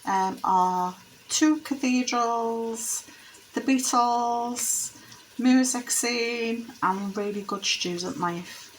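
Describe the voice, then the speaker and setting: In a Liverpool accent, a woman with a fairly high voice talks at a very slow pace with ordinary pitch variation. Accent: Liverpool (Scouse). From Liverpool, England. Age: 50s. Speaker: former secondary school teacher. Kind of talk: casual talk to camera.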